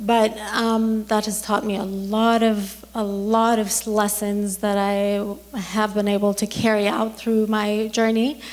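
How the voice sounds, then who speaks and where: A woman speaks in a flat monotone at a fairly high pitch and a fairly slow pace, with hardly any pauses. Room echo is audible. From Iran. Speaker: dentist. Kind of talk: talk to an audience. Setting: stage with audience. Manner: halting, with many ums.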